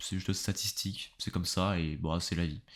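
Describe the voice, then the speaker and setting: A man with fairly even intonation on a very clean recording with a silent background. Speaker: YouTuber and podcaster on philosophy. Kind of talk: casual solo podcast monologue. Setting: home recording with pop filter. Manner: fast; casual, hesitant with fillers.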